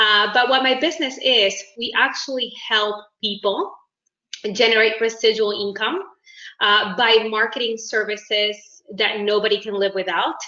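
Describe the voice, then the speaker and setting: A woman speaks at a moderate pace in a Uruguayan accent. Her pitch is fairly high and her intonation fairly even. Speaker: network marketing business owner. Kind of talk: self-introduction in video meeting. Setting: video call.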